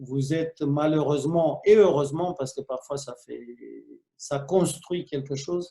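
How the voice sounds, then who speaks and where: A man's somewhat breathy, fairly high voice at a fairly slow pace, with fairly even intonation. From Romania. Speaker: film director. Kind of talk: interview. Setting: video call.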